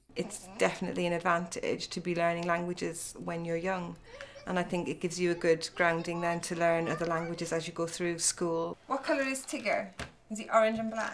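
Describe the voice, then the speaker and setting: A woman with an Irish accent, fairly low in pitch, at a fairly quick pace with ordinary pitch variation, against noticeable background noise. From Ireland. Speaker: parent. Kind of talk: interview.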